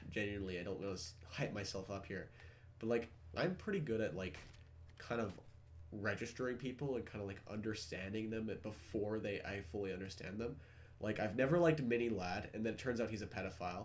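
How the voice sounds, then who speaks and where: Speaking at a fairly quick pace, a man with a fairly low pitch and ordinary pitch variation is heard with audible room echo. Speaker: gaming content creator. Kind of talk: casual gaming chat.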